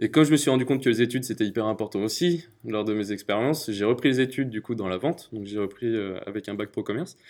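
Speaking at a very fast pace, the man has a medium pitch with ordinary pitch variation. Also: very clean recording, silent background. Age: 20s. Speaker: startup founder. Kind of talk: interview testimony. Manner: hesitant, many fillers.

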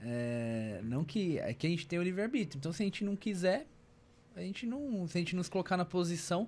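This man has a high pitch and a fairly quick pace. His pitch swings very widely. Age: 30s. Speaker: podcast host. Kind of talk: casual chat. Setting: studio.

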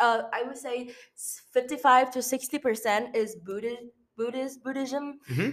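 Slow-paced and fairly even in intonation, this woman talks at a high pitch. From Vietnam. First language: Vietnamese. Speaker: international student. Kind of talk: casual chat.

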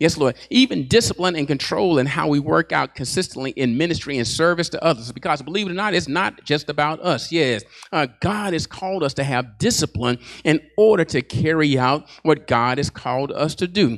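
A man with a fairly high pitch, an animated tone and lively intonation, at a fairly quick pace with hardly any pauses. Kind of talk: sermon, preacher in full flow. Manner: animated, call-and-response, fervent; punctuated by repeated 'Yes, Lord' affirmations.

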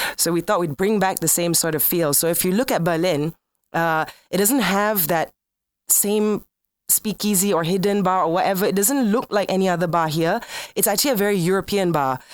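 Over a very clean recording with a silent background, a woman with a normal speaking voice talks at a fairly quick pace, using medium pitch with ordinary variation and very even loudness. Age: 30s. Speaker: bar owner, former radio host. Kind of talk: casual interview.

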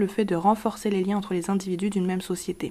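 A woman talks very fast at a medium pitch. Her tone is dark and mellow, and somewhat breathy. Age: 20s. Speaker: podcast host. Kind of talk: scripted explainer monologue.

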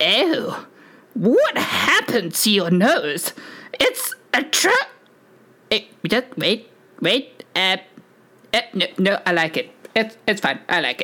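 A put-on character voice, female-sounding and fairly high in pitch, at a fairly slow pace with long, frequent pauses. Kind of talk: formal, precise diction. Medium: actual play. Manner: hesitant, fussy, hedging with many "uh"s.

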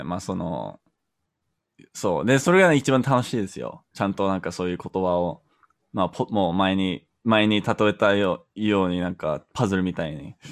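In an English accent, a man with a very deep, low pitch talks at a moderate pace with lively intonation and big swings in loudness, on a very clean recording with a silent background. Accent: English-accented Japanese. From Canada. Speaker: Japanese learner. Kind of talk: casual chat. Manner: halting.

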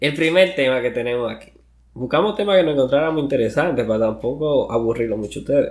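Speaking at a fairly quick pace, a man with a Dominican accent uses lively intonation at a fairly high pitch. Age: 20s. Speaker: podcast co-host. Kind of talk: casual chat.

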